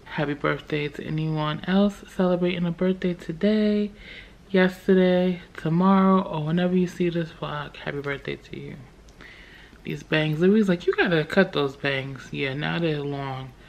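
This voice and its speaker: A woman speaks at a moderate pace in a fairly low voice with ordinary pitch variation. Her loudness swings widely. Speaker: vlogger. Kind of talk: casual vlog chat. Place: home room. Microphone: phone near.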